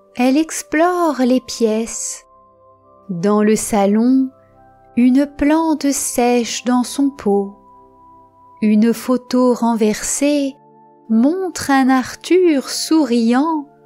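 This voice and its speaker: A woman's high-pitched, calm, soothing voice at a very slow pace, with long, frequent pauses, very even loudness and music in the background. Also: ordinary pitch variation. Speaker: storyteller. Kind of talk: sleep story.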